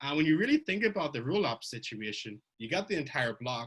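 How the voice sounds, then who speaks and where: With very wide pitch swings, a man rattles along at a very fast pace. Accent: Irish. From Ireland. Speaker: blockchain researcher giving a conference talk. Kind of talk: technical conference talk. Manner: conversational, with fillers and self-corrections.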